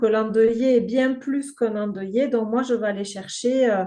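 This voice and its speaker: With a southern French accent, the speaker uses a dark, mellow tone, fairly even intonation and a moderate pace. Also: woman. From southern France. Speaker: grief counselor and game creator. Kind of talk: podcast interview. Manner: hesitant, many filler words.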